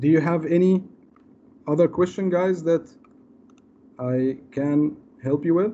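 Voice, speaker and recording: High-pitched yet dark and mellow in tone, a man speaks at a fairly slow pace with long, frequent pauses, ordinary pitch variation and very even loudness over light background noise. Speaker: cyber security presenter. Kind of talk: webinar Q&A. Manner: hesitant, many fillers. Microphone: video call.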